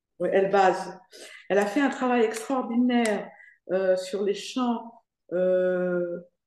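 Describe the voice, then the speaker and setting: In a room with audible echo, a woman at medium pitch speaks at a very slow pace with ordinary pitch variation and long, frequent pauses. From Morocco (Fès). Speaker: foundation president giving a testimony. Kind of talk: Q&A in an online lecture. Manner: hesitant, many fillers.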